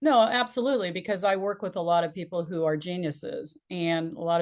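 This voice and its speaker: A woman with a plain, everyday voice and a fairly low pitch talks at a fairly quick pace against a quiet background. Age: 60s. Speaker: business and life strategist, speaker coach. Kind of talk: interview conversation.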